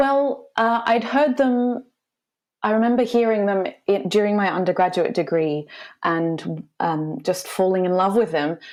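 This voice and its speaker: This woman has an Australian accent and lively intonation. Her background is quiet. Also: medium pitch for a woman, fairly slow pace, very even loudness. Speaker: classical singer. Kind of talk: casual chat.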